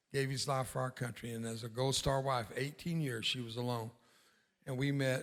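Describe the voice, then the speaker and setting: Moderately paced and flat in a monotone, a man at medium pitch talks with an American accent. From US-Mexico border (south Texas). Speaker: war veteran and evangelist. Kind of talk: sermon.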